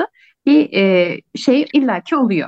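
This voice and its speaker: A woman speaks in an unremarkable speaking voice, fairly high in pitch. The sound is dry and close, with no echo. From Kars, eastern Turkey. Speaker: sociology researcher. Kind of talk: interview conversation.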